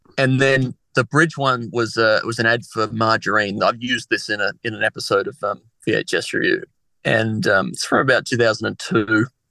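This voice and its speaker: A man with an Australian accent talks at a moderate pace in a dry, close sound with no echo. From Australia, Adelaide. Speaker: comedian. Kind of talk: casual chat.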